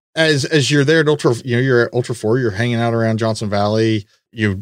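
A man talks in a normal speaking voice, pitched medium with ordinary pitch variation. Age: 40s. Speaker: podcast host. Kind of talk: casual chat.

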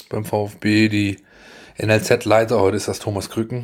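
This man has a plain, everyday voice with a fairly low pitch. He talks at a moderate pace. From Baden-Württemberg, near Stuttgart. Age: 40s. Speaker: sports journalist. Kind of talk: casual chat.

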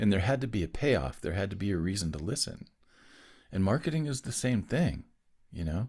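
Fairly low-pitched, somewhat breathy male voice at a fairly quick pace, very wide pitch swings, on a very clean recording with a silent background. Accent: American. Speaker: business owner and musician. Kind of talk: casual interview chat. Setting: podcast interview.

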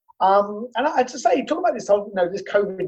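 With a British accent, a man speaks fairly quickly in a high register. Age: 50s. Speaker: business owner. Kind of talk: interview. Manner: halting.

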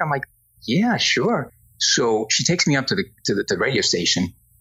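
A man talks at a fairly quick pace with a Spanish accent. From Spain. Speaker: entertainment industry executive. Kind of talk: interview.

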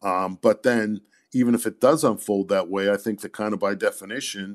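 The man has an unremarkable speaking voice, fairly low in pitch, at a moderate pace. His recording is dry and close with no echo and a quiet background. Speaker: sports magazine editor answering fan questions. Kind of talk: casual sports Q&A conversation.

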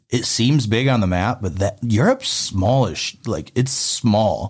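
A man speaks at a moderate pace with an American accent. His pitch is medium, and he has a normal speaking voice. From upstate Pennsylvania, later Memphis. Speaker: Air Force veteran. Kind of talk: casual chat.

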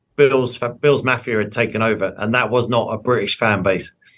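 A man at medium pitch with an English accent. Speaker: sports broadcaster. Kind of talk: interview.

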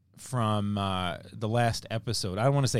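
A plain, everyday voice from a man, fairly low in pitch, with ordinary pitch variation and a moderate pace. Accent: American. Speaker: podcast host. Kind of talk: casual chat. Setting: basement, on location.

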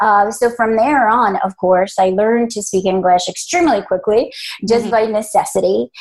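In a Spanish accent, a woman talks at a moderate pace with a fairly high pitch and ordinary pitch variation. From Colombia, moved to US at 11. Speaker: business founder and leadership trainer. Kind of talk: interview.

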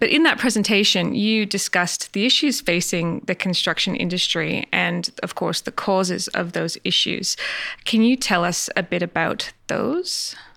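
This woman speaks at a moderate pace in a medium pitch with ordinary pitch variation. Her tone is bright and sharp, with some vocal fry. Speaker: podcast host. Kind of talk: interview.

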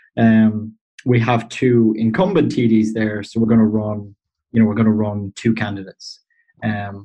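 With an Irish accent, a man talks at a medium pitch. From Ireland. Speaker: Irish political guest. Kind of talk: casual explanatory interview.

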